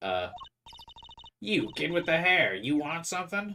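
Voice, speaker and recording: A man puts on a character voice that is husky and high. He delivers it at a moderate pace. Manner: gruff, curt.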